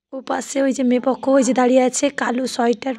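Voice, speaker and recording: The speaker holds a flat, monotone intonation against noticeable background noise. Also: woman. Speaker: vlogger. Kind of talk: casual vlog narration. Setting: at a wedding venue.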